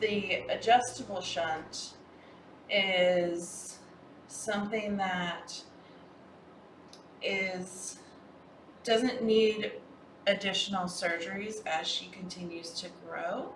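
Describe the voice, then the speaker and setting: Amid noticeable background noise and audible room echo, a woman speaks at a very slow pace with long, frequent pauses, a medium pitch, fairly even intonation and big swings in loudness. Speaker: cat rescue foster host. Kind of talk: livestream casual chat.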